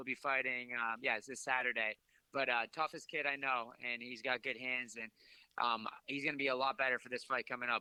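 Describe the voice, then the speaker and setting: A man talks at a very fast pace with an American accent and a bright, sharp tone. The sound is dry and close, with no echo. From southeastern Massachusetts. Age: 20s. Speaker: MMA fighter. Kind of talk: interview. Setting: phone call.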